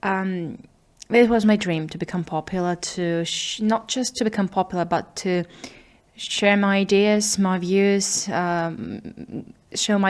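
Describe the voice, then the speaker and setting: Using a fairly even intonation, a woman with a medium pitch talks at a fairly slow pace. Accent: non-native. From small town, unnamed country. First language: not English. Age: 20s. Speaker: video diarist. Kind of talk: personal video diary monologue. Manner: halting, hesitant with fillers.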